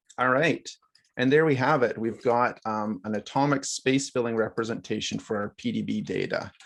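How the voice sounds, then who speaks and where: A man's voice with vocal fry, ordinary pitch variation and a moderate pace. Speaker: workshop instructor. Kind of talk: live software tutorial. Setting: video call.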